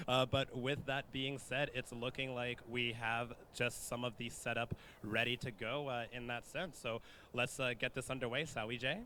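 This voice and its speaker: A man speaks with a bright, sharp tone. His intonation is monotone and flat. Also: medium pitch for a man, moderate pace. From Canada. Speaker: esports event host, Smash player. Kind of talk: live event hosting.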